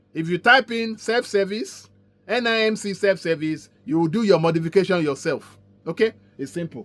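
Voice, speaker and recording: A man's high-pitched, animated voice at a moderate pace, with ordinary pitch variation and music in the background. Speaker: community organiser. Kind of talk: informational update.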